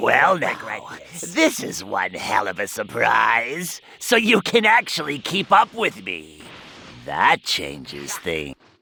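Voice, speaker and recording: A man does a put-on character voice. He talks at a fairly slow pace. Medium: video game. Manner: smug, menacing.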